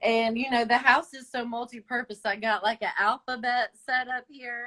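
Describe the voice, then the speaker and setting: A woman with a high, bright and sharp voice speaks in a monotone with a Southern accent, her loudness swinging widely in a dry, close recording with no echo. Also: moderate pace. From Long Island, New York and mountains of North Carolina. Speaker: small business owner and direct sales consultant. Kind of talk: casual interview. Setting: video call livestream.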